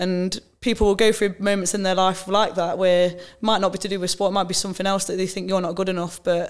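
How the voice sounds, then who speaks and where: The speech comes in an East Midlands accent at a fairly quick pace, with monotone, flat intonation. It is a very clean recording over a silent background. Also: woman. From England, Nottingham. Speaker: women's footballer, team captain. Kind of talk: casual interview chat.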